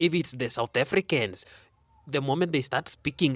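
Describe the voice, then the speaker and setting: A man with a Kenyan accent is heard in a dry, close sound with no echo. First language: Kenyan local language (English third or fourth). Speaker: online commentator. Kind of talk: casual commentary monologue. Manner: animated.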